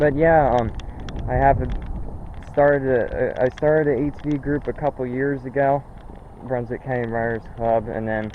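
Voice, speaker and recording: A man with fairly even intonation, against noticeable background noise. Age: 20s. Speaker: ATV rider club founder. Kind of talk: casual vlog talk. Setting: outdoors on his property. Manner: halting, repetitive. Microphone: poor camera audio.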